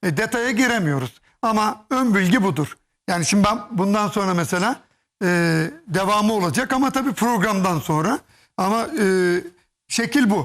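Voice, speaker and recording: A man's high-pitched voice with lively intonation and very even loudness, at a moderate pace with long, frequent pauses, on a very clean recording with a silent background. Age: 50s. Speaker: hairpiece specialist and hairdresser. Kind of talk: TV studio demonstration interview. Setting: TV studio.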